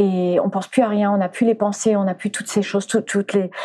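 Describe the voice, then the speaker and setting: A woman at medium pitch, with fairly even intonation and noticeable background noise. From France, arrived from the US at age 4. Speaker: animal communicator and former flamenco dancer. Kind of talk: interview. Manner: halting, many repetitions.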